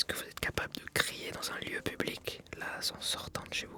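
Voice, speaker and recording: A man whispering over music in the background. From France. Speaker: ASMR creator and filmmaker. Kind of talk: ASMR advice reading, casual talk to camera. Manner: soft-spoken, whispered, relaxing.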